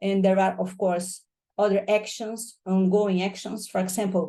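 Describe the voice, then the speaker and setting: A woman speaks at a medium pitch with a Portuguese accent. Her tone is dark and mellow. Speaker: professor. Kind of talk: lecture. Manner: fast.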